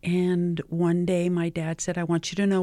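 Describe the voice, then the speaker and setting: A woman with a New Mexico accent speaks at a moderate pace in a fairly low, dark, mellow voice, the recording very clean with a silent background and a dry, close sound with no echo. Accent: New Mexican English. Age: 70s. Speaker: community organizer. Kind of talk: interview. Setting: studio.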